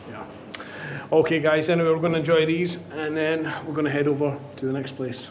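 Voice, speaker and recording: A man speaks with long, frequent pauses. There is audible room echo and noticeable background noise. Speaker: beer vlogger. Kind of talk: casual vlog chat. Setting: outdoor beer garden. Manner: loud.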